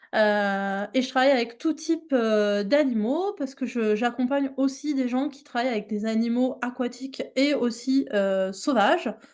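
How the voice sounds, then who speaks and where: A woman's high-pitched voice at a fairly slow pace, with hardly any pauses and ordinary pitch variation. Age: 30s. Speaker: animal mediation trainer. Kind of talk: online workshop presentation. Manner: hesitant, many fillers.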